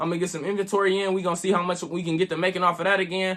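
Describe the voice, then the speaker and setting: A man talks at a very fast pace in a raised, projected voice. His pitch is high and his tone bright and sharp. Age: 20s. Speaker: content creator. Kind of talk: motivational monologue. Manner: animated; stutter.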